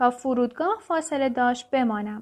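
Lively intonation in a high-pitched female voice. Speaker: podcast host reading a self-help book aloud. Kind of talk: reading aloud.

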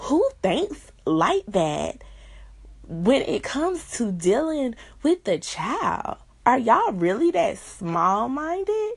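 Very slow and high-pitched, a woman with an American accent speaks in very wide pitch swings. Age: 20s. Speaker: podcast host. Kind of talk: casual chat.

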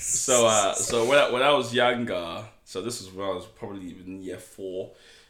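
This man's voice sits at a fairly low pitch, with ordinary pitch variation and big swings in loudness at a moderate pace. Audible room echo and noticeable background noise run through the recording. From Nigeria. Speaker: podcast guest. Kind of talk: casual chat. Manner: animated storytelling.

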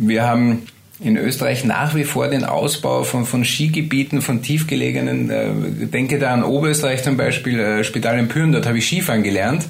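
Medium-pitched male speech with ordinary pitch variation and very even loudness, over noticeable background noise. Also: moderate pace. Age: 50s. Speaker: meteorologist. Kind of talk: interview.

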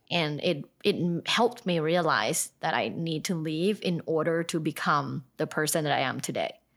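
A woman's vocal fry on a very clean recording with a silent background. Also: fairly low pitch for a woman, ordinary pitch variation, moderate pace, hardly any pauses. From Thailand. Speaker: sex and relationship expert. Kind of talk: casual interview.

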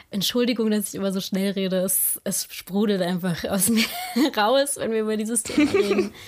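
Spoken at a moderate pace with fairly even intonation, the voice comes through over noticeable background noise. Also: woman, medium pitch for a woman. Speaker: podcaster. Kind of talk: casual chat.

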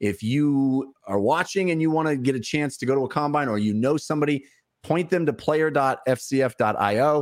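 At a moderate pace and very even loudness, a man with a fairly high pitch uses a plain, everyday voice with ordinary pitch variation. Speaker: show host. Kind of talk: casual chat. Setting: livestream from home.

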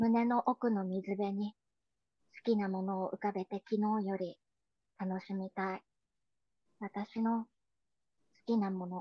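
A woman at medium pitch with monotone, flat intonation, going at a fairly slow pace with long, frequent pauses. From Tokyo, Japan. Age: 40s. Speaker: poet and musician. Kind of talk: poetry reading.

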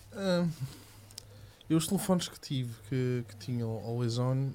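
A man talks at a fairly slow pace with ordinary pitch variation. His tone is dark and mellow, and somewhat breathy. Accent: European Portuguese. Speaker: tech podcast co-host. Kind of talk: casual live-stream chat.

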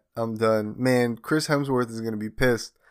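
A man speaks in an animated tone at a medium pitch. The recording is very clean, with a silent background. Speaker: podcast host. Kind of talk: casual banter. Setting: studio. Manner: joking, animated.

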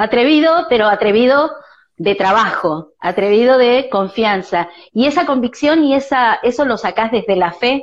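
Speaking in a Rioplatense accent, a woman with a high pitch talks at a fairly slow pace with lively intonation and very even loudness. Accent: Argentine Rioplatense Spanish. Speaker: podcast host. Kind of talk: interview.

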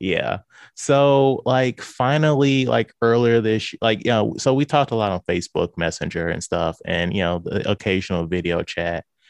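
In a St. Louis accent, a man talks at a moderate pace with lively intonation and hardly any pauses, the sound dry and close with no echo over a quiet background. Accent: Midwestern American (St. Louis). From US Midwest, St. Louis, Missouri. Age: 30s. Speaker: podcaster. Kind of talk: casual chat.

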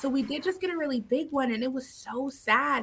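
Speaking at a moderate pace with an Californian accent, a woman uses a high pitch, lively intonation and a bright, sharp tone. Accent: Californian American. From Southern California, San Diego. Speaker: realtor. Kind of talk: casual interview chat.

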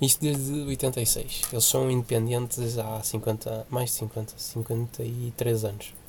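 A man speaks very slowly at a medium pitch, somewhat breathy, with monotone, flat intonation. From Portugal, Porto area (Senhora da Hora). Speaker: podcast co-host. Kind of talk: casual chat.

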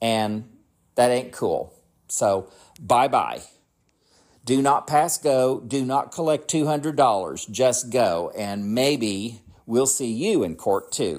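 In a very clean recording with a silent background, a man with an American accent speaks very slowly at a medium pitch with ordinary pitch variation. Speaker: podcast host. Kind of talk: solo political commentary podcast, with an angry rant about Republicans near the end. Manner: casual and conversational, rambling; heated and indignant in the rant.

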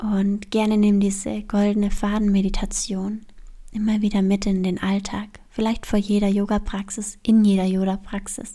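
A woman's somewhat breathy voice, medium in pitch, has a gentle, soothing tone that is also dark and mellow, delivered with monotone, flat intonation. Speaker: yoga teacher and podcast host. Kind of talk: guided meditation. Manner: slow, soothing, calm; soft-spoken, gentle, with long pauses.

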